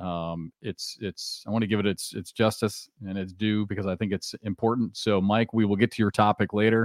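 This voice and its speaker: A man talks in monotone, flat intonation with hardly any pauses, sounding dry and close with no echo on a very clean recording with a silent background. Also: fairly low pitch for a man, moderate pace. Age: 50s. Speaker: podcast host. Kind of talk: casual chat.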